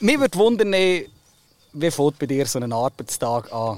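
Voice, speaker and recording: The sound is dry and close with no echo as a man talks at a moderate pace with very wide pitch swings. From Oberbaselbiet, Switzerland. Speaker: farmer and podcast host. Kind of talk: casual chat.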